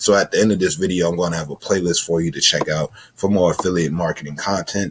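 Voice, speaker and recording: Speaking at a very fast pace, a man with a very deep, low pitch keeps his intonation fairly even. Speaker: YouTuber teaching affiliate marketing. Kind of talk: tutorial.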